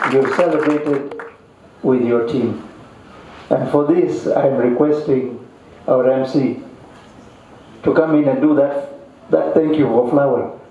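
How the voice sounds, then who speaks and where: A man with a fairly high pitch in a flat monotone, very even in loudness, fairly slow, with long, frequent pauses, audible room echo and noticeable background noise. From Kenya, Kisii. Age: 60s. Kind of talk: ceremony speech.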